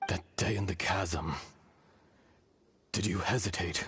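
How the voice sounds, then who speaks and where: A raspy, put-on character voice from a man, very deep and low in pitch, at a fairly slow pace. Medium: video game. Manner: slow, solemn, archaic.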